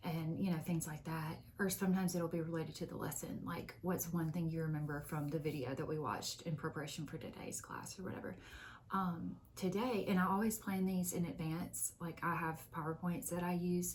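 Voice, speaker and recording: Quiet and with vocal fry, a woman speaks at a fairly low pitch and a fairly quick pace, hardly pausing, her intonation fairly even amid audible room echo. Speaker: book vlogger and college teacher. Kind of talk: casual vlog talk. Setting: office at work.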